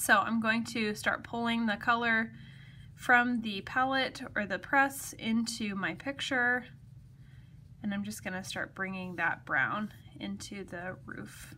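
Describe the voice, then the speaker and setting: With a bright, sharp tone and big swings in loudness, the speaker moves at a fairly slow pace with ordinary pitch variation over light background noise. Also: woman. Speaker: craft demonstrator. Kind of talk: tutorial. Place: home room. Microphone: phone near.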